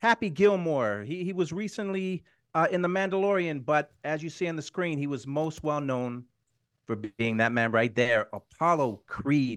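The man's voice sits fairly high and swings very widely in pitch. The recording is dry and close, with no echo. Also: quiet background. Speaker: boxing show presenter. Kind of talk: casual chat. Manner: animated.

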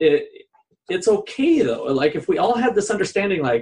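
A man with an American accent and very wide pitch swings. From Minnesota. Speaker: economics professor, podcast co-host. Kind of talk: casual discussion.

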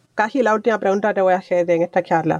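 The voice has ordinary pitch variation in a dry, close sound with no echo. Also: woman. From Cuba. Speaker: podcast host. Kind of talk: interview.

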